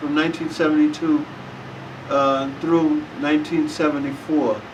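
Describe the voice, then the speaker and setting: With audible room echo and noticeable background noise, a man with an American accent speaks at a fairly high pitch and moderate pace, his intonation fairly even. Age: 70s. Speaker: war veteran. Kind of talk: interview. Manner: halting.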